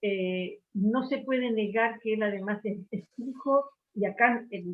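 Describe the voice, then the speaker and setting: With ordinary pitch variation, a woman uses a normal speaking voice at a medium pitch. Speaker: book club member. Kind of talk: book club discussion. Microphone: unstable internet connection.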